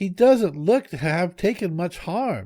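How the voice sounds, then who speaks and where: Using a put-on character voice, a man speaks high in pitch with lively intonation at a fairly slow pace. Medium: read story. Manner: polite.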